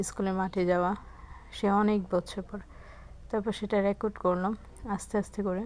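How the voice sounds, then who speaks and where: A woman's voice of medium pitch comes through with monotone, flat intonation. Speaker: vlogger. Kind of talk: casual vlog narration. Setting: outdoors, walking in village.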